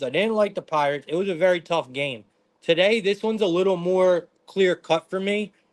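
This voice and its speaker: A man's high voice moves with ordinary pitch variation at a moderate pace. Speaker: sports betting stream host. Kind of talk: live stream sports betting analysis. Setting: live stream from living room. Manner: loud; intense.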